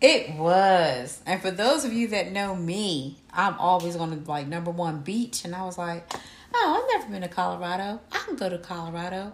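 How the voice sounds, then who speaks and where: At a moderate pace, a woman with an American accent speaks in a fairly low pitch with ordinary pitch variation. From Camden, New Jersey. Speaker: podcast co-host. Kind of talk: casual chat.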